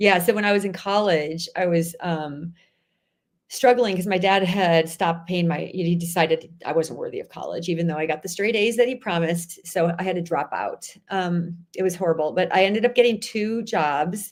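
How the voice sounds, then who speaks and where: The speaker has a Chicago accent. Pitch variation is ordinary. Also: woman, fairly low pitch for a woman, moderate pace. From Chicago area, US Midwest. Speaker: author. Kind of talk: interview conversation. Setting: live stream.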